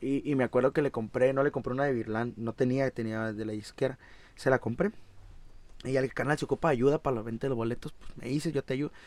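Very fast speech from a man at medium pitch with fairly even intonation, in a dry, close sound with no echo. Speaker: musician. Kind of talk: casual chat.

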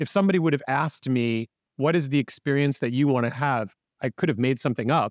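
A man with an unremarkable speaking voice talks at a fairly quick clip in a medium pitch, with ordinary pitch variation, a dry, close sound with no echo, and a quiet background. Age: 50s. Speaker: business coach and author. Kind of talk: casual interview.

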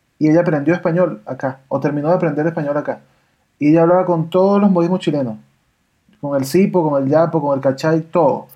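A man with a fairly high voice speaks at a very fast pace. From Venezuela. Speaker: podcast host, voice actor. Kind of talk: casual chat.

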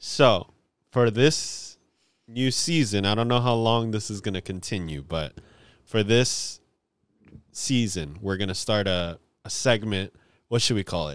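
A man's fairly low voice with lively intonation, long and frequent pauses, and a very clean recording over a silent background. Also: fairly slow pace. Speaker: podcast co-host. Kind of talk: casual chat. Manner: quiet.

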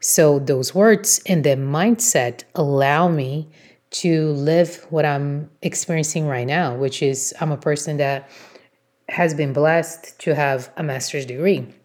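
A woman's very deep, low voice in a Portuguese accent, at a very slow pace. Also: ordinary pitch variation. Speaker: blogger and podcast host. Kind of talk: motivational solo talk.

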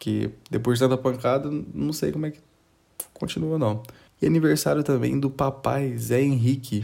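A man with a medium-pitched, dark and mellow voice speaks at a moderate pace with ordinary pitch variation, big swings in loudness, and long, frequent pauses. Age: 20s. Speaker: news podcast host. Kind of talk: casual comedic news commentary. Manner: animated.

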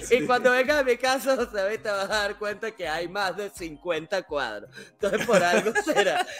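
Over noticeable background noise, a man with a high pitch and ordinary pitch variation talks at a moderate pace with hardly any pauses. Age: 40s. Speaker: podcast host. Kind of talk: casual chat.

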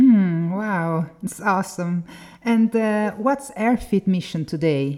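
A woman at a very slow pace, medium pitch, dark, mellow tone and lively intonation, in a very clean recording with a silent background. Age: 40s. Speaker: podcast host. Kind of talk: interview. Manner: halting.

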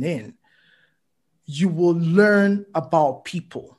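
This man's voice sits high for a man and moves at a very slow pace. The background is quiet. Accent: Nigerian. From Nigeria. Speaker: physician and writer. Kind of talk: casual conversation.

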